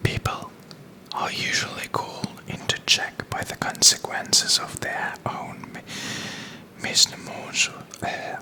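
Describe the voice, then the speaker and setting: Whispering at a fairly slow pace, the speaker leaves long, frequent pauses amid noticeable background noise. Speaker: ASMR content creator, channel host. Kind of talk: ASMR reading of literary analysis text. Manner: soft-spoken, whispered, relaxing.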